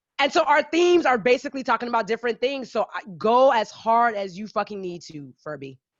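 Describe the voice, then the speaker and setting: A woman with a Caribbean accent talks at a fairly quick pace with hardly any pauses, her fairly high pitch making very wide swings and her loudness swinging big. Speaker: podcast host. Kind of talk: casual interview chat.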